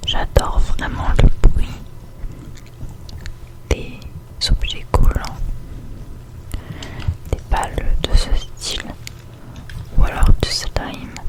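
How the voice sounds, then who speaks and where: A woman whispering at a very slow pace, with long, frequent pauses and noticeable background noise. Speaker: ASMR creator. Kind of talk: ASMR whisper to camera. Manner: whispered.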